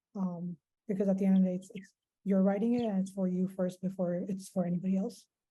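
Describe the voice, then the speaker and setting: Her voice is somewhat breathy, a woman at medium pitch with a dark, mellow tone and monotone, flat intonation. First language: not English. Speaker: writing fellow. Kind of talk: panel discussion.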